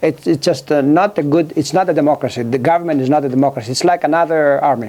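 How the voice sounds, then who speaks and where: With a Greek accent, a man talks at a very fast pace in a dark, mellow tone and fairly high pitch. His loudness stays very even while his pitch varies in an ordinary way. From Greece, island of Kefalonia. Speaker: author and former government scientist. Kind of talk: interview. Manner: halting, many fillers.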